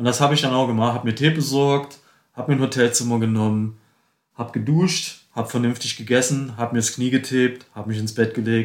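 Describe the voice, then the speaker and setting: A man with a medium-pitched voice talks very quickly. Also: fairly even intonation. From eastern Germany, Dresden (Saxony). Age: 50s. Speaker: ultracyclist. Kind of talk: casual interview. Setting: studio, face to face.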